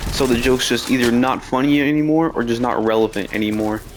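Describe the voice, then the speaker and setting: Soft-spoken, a man talks at a moderate pace and medium pitch against noticeable background noise. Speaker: gaming streamer. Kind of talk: casual storytelling.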